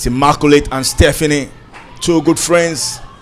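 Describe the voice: The voice is a man's. He delivers his words at a fairly slow pace.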